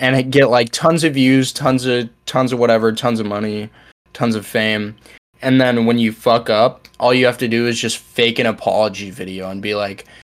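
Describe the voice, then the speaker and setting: In a plain, everyday voice, a man of medium pitch speaks at a moderate pace with fairly even intonation. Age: young. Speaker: podcast co-host. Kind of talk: casual chat.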